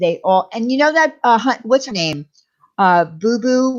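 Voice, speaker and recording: A woman speaks at a fairly slow pace with a Long Island accent, her animated tone carried by very wide pitch swings. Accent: New York (Long Island). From Long Island, New York. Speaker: livestream host. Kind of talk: casual livestream chat.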